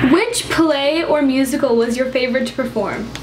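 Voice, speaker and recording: Bubbly in tone, the voice moves at a moderate pace with ordinary pitch variation, set against audible room echo and noticeable background noise. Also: woman. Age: young. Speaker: YouTuber. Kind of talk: casual Q&A vlog. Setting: on a couch in new room.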